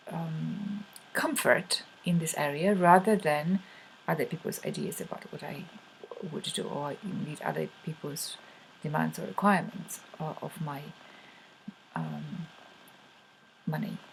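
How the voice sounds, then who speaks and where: A woman with a Polish accent talks at a fairly slow pace with ordinary pitch variation. Her pauses are long and frequent, and her loudness swings a lot. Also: fairly low pitch for a woman. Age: adult. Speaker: money coach. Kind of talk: video talk to camera. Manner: halting, many fillers.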